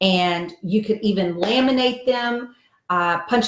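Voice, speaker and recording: Her pitch is medium with ordinary variation, as a woman speaks in an unremarkable speaking voice. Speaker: diet coach and author. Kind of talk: live video chat with viewers.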